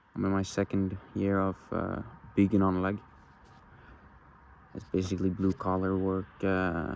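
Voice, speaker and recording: A man with a Norwegian accent speaks at a fairly slow pace in a very deep, low voice, his flat, monotone delivery broken by long, frequent pauses. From Norway. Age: young. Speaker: vlogger. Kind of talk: personal confessional monologue. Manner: halting.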